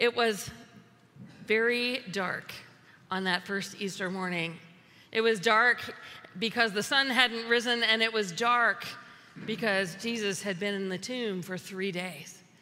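A woman with an American accent at a fairly slow pace, long, frequent pauses, ordinary pitch variation and audible room echo. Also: medium pitch for a woman. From US South. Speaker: pastor. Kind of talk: sermon.

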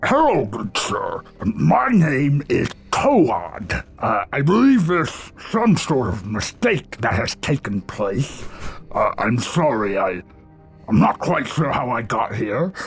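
Putting on a croaky character voice, a man speaks at medium pitch. His pace is very slow. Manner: polite, apologetic, formal.

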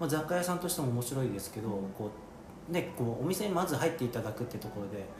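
A man talks very fast at a medium pitch, his voice swinging very widely in pitch. Noticeable background noise and audible room echo are present. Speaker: coffee roaster and podcast host. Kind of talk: casual interview chat. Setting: on location in a shop.

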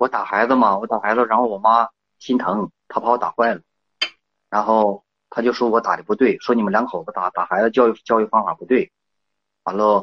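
Using a medium pitch, a man speaks in a monotone, flat intonation broken by long, frequent pauses. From rural China. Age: 30s. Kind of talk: phone call. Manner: halting.

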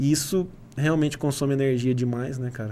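In a dark, mellow tone, a man speaks at a medium pitch and moderate pace with fairly even intonation. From southern Minas Gerais, Brazil (São Sebastião do Paraíso). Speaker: e-commerce agency founder. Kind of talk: casual interview.

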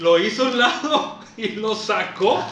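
A man speaks in a raised, projected voice with ordinary pitch variation. Noticeable background noise is present. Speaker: podcast co-host. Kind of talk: casual chat.

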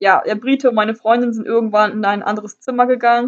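Her voice fairly high and her pace fairly quick, a woman keeps her intonation fairly even in an unremarkable speaking voice. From northern Germany. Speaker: travel podcaster. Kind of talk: personal storytelling monologue.

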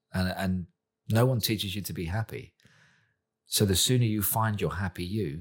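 A somewhat breathy man with a southern English accent at a fairly low pitch and moderate pace, ordinary pitch variation, in a very clean recording with a silent background. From southern England, Portsmouth. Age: 40s. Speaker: chef. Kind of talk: casual interview chat.

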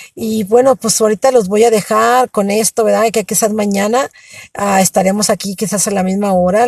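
Her somewhat breathy voice, with fairly even intonation, sounds dry and close with no echo as the woman speaks. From Mexico (Michoacán and Ensenada). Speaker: storyteller. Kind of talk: personal testimony. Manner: halting.

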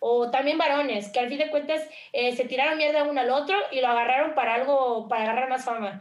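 Noticeable background noise sits behind a woman talking at a very fast pace. Her voice is high-pitched with ordinary pitch variation. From Mexico, Veracruz. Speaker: streamer and content creator. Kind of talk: interview.

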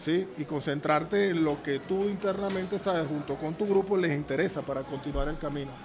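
Amid noticeable background noise and audible room echo, a man with a fairly high pitch talks fairly quickly with hardly any pauses and ordinary pitch variation. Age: 60s. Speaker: football coach. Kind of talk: casual chat. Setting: restaurant. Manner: halting.

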